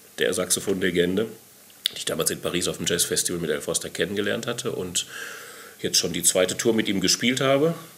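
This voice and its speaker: Over noticeable background noise, a man speaks very fast at a fairly low pitch. His intonation is lively, broken by long, frequent pauses. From Hamm, Westphalia, Germany. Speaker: jazz musician. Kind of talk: casual interview. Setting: studio.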